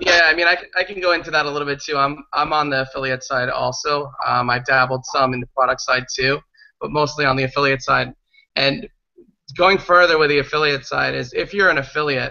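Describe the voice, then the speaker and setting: Talking at a fairly quick pace, a man with an ordinary speaking voice keeps a fairly high pitch and fairly even intonation. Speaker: affiliate marketer. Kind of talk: casual group chat.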